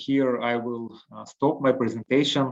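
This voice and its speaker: A man with a Russian accent speaks at a fairly slow pace. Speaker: harm reduction program director. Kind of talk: webinar presentation. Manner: halting, many fillers.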